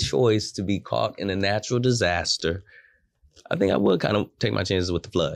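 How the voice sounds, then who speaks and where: Lively intonation with vocal fry, long and frequent pauses, and a quiet background. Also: man. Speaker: podcast co-host. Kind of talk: casual chat. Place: studio. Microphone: studio mic.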